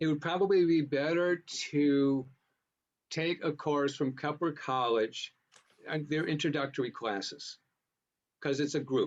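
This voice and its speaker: A man speaks with an American accent. His pitch is fairly high and his pace fairly slow. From US. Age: 60s. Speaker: astrologer. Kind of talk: interview.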